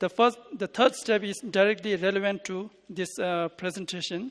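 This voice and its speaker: Words come out at a fairly slow speed. A non-native accent is present. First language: not English. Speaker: conference presenter. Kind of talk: paper reading. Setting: conference. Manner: halting.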